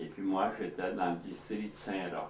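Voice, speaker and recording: A man's very deep, low voice amid noticeable background noise and audible room echo. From Manitoba, Franco-Manitoban (La Broquerie). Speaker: elderly community member, former farmer. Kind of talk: oral history interview.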